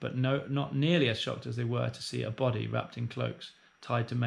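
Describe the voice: Pitch variation is ordinary. The clip consists of plain reading aloud.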